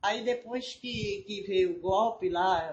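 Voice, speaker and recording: A woman talks with lively intonation in a somewhat breathy voice. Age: old. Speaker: eyewitness. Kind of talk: interview.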